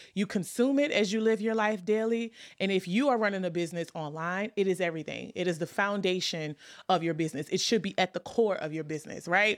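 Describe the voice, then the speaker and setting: An animated tone in an American accent, very fast pace and ordinary pitch variation, on a very clean recording with a silent background. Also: woman, medium pitch for a woman. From New Orleans, US South. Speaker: podcast host, content marketing coach. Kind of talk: casual solo podcast monologue.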